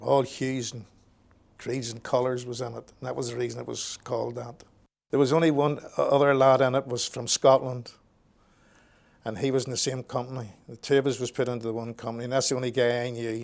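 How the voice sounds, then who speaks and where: Talking at a fairly quick pace, a man keeps a monotone, flat intonation. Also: medium pitch for a man, big swings in loudness. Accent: Northern Irish. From Belfast, Northern Ireland. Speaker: war veteran. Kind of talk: oral history interview. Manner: halting, repeats words.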